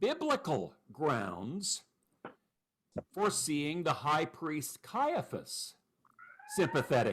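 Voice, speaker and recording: Loud and fairly high-pitched, a man's voice swings very widely in pitch. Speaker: pastor teaching a Bible class. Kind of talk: Bible study lecture.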